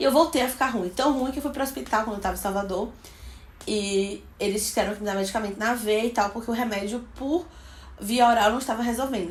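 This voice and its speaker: A woman with a Bahian accent talks very fast in a fairly high, somewhat breathy voice with ordinary pitch variation. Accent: Bahian Brazilian Portuguese. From Bahia, Brazil. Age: 20s. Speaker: beauty vlogger. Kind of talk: casual talk to camera.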